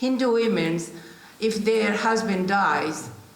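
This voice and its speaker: A woman speaks with ordinary pitch variation amid noticeable background noise and audible room echo. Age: 60s. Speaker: panellist, local councillor and business owner. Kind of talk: panel discussion. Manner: halting.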